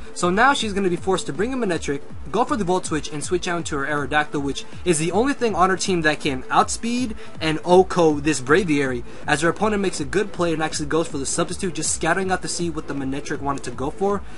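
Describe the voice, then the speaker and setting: A man at a fairly high pitch, very fast and with lively intonation, over noticeable background noise. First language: not English. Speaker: guest commentator for game battle videos. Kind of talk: live commentary. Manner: casual, with fillers.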